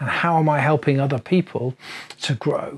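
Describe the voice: With a slightly husky edge, a man speaks at a moderate pace in a fairly high-pitched voice with ordinary pitch variation.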